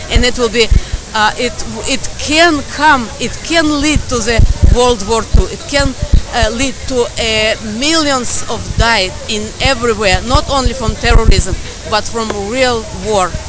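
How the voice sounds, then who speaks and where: In a Russian accent, a woman speaks fairly slowly at a high pitch with ordinary pitch variation, amid audible room echo and noticeable background noise. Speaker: protester. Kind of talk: street interview. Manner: halting.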